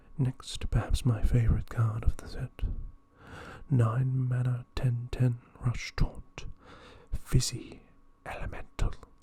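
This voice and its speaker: Soft-spoken delivery in an Australian accent, at a very slow pace with long, frequent pauses. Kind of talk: ASMR card game review.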